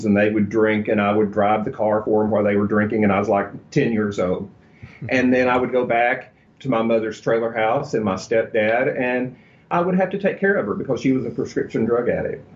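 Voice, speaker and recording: A man with a Texan accent, medium pitch and fairly even intonation, at a moderate pace. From Texas. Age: 50s. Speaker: celebrity hairstylist and author. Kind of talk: interview. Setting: studio.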